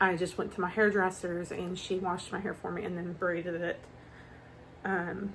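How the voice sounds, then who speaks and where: A woman talks at a moderate pace with a medium pitch and monotone, flat intonation. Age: 40s. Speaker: vlogger. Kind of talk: casual vlog. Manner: soft-spoken.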